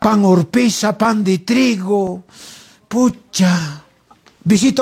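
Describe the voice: This is plain reading aloud. Pitch variation is ordinary.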